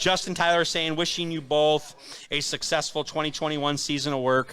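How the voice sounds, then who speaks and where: A loud man speaks at a moderate pace. His fairly high voice has a bright, sharp tone. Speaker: racing show host. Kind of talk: live streamed show chat. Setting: pizza parlor.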